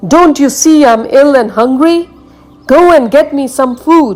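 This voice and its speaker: A woman bellows in a high-pitched, put-on character voice, with faint music in the background. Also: moderate pace. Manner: roaring, angry, demanding.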